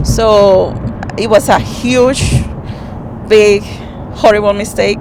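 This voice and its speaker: A speaker with a non-native accent talks at a very slow pace, with long, frequent pauses and fairly even intonation. Audible room echo and noticeable background noise fill the recording. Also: woman, medium pitch for a woman. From Dominican Republic. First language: Spanish. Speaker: rideshare passenger sharing story. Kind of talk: personal testimony. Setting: in a car. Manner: halting.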